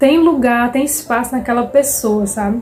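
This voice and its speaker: The voice has a warm tone and a fairly slow pace, with music in the background. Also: woman. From Fortaleza, Ceará, Brazil. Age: 20s. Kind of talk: casual devotional talk to camera. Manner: warm, heartfelt.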